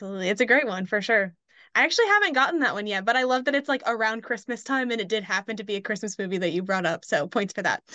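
A woman at a fairly high pitch with a bright, sharp tone, speaking very fast with ordinary pitch variation. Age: 20s. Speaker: podcast host. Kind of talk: casual interview.

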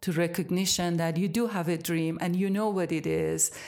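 A woman speaks with an Iranian accent. Her pitch is fairly low, with ordinary variation. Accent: Iranian (Persian) accent in English. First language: Persian. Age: 60s. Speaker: yoga teacher and studio owner. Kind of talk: interview.

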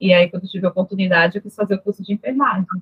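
Speaking at a very fast pace, a woman talks. Her pitch sits in the medium range. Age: 30s. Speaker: nurse technician. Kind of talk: interview.

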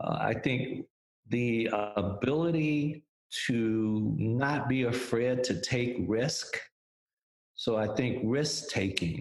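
A man with an ordinary speaking voice speaks at a medium pitch. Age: 60s. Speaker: music industry executive. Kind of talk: interview.

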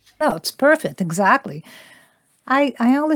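In a dry, close sound with no echo, a woman with a Brazilian accent speaks with very wide pitch swings. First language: Portuguese. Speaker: interpreter and voice actor. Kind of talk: interview.

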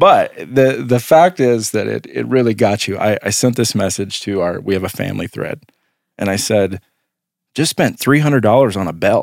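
Vocal fry runs through this man's voice, which has lively intonation at a moderate pace. The recording is very clean, with a silent background. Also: medium pitch for a man. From US Midwest. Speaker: podcast host. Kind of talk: casual interview.

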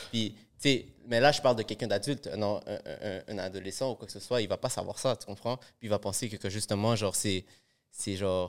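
On a very clean recording with a silent background, a man with a fairly low pitch talks at a fairly quick pace, his intonation fairly even and broken by long, frequent pauses. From Montreal area (Laval), Peruvian family. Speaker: rapper. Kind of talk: casual chat.

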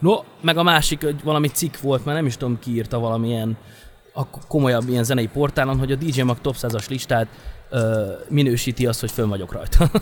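Here is a man with a plain, everyday voice at a medium pitch. He moves at a fairly quick pace with ordinary pitch variation. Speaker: DJ and music producer. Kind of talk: casual interview chat.

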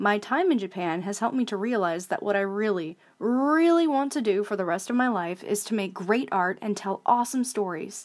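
Recorded very cleanly against a silent background, a woman with a plain, everyday voice talks at a fairly quick pace. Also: medium pitch for a woman. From Alaska, US. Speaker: artist and vlogger. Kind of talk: scripted monologue.

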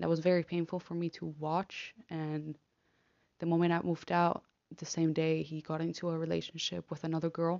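The speech comes at a fairly quick pace in a Spanish accent. Intonation stays monotone and flat. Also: woman, fairly low pitch for a woman. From Argentina. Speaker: podcaster, law student. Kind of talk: personal monologue. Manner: halting, hesitant.

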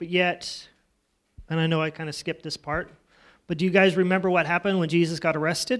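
Very fast speech from a man with a high pitch comes with monotone, flat intonation and long, frequent pauses. The recording is very clean, with a silent background. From Alaska. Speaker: lay preacher. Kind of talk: sermon. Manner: halting.

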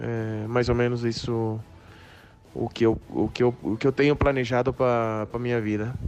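A man speaks at a moderate pace in a medium pitch with monotone, flat intonation. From Brazil. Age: 30s. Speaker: professional baseball player. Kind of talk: interview. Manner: halting.

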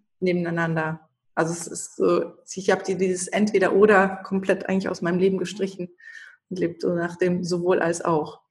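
A woman talks at a moderate pace in a medium pitch, somewhat breathy, with monotone, flat intonation. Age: 30s. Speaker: shaman and spiritual coach. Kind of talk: interview.

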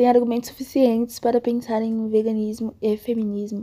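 A woman speaks in a monotone, flat intonation. Her voice is fairly high in pitch with a dark, mellow tone. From Brazil, Salvador (Bahia). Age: 20s. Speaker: law student and vegan content creator. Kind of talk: casual panel discussion.

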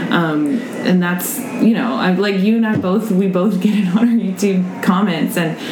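A woman with an American accent, medium pitch and ordinary pitch variation, at a moderate pace, with audible room echo and noticeable background noise. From Austin, Texas. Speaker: food youtuber. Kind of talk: casual chat.

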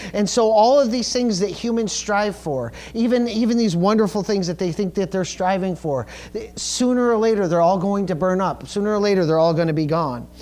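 A man's high-pitched voice at a fairly quick pace, with ordinary pitch variation and audible room echo. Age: 40s. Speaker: pastor. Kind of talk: sermon.

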